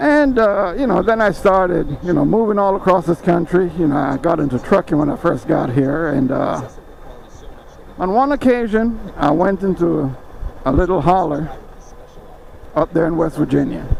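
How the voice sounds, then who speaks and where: A man at a high pitch, moderate pace and relaxed tone, lively in intonation, with long, frequent pauses and noticeable background noise. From Jamaica. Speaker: motorcycle vlogger, former truck driver. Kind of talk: casual storytelling vlog. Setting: outdoors on a motorcycle ride. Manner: relaxed, hesitant with fillers.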